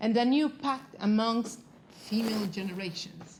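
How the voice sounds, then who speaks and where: A woman with an Italian accent speaks at a fairly slow pace with a fairly high pitch. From Italy. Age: 40s. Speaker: magazine founder and panel moderator. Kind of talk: panel discussion.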